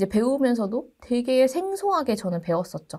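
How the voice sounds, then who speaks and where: A woman speaks at a fairly quick pace. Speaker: university lecturer. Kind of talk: lecture.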